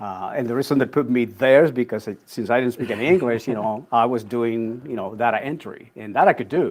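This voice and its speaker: Speaking at a fairly quick pace with a Spanish accent, a man's medium-pitched voice comes through on a very clean recording with a silent background. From Puerto Rico. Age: 60s. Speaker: executive coach. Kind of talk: interview conversation.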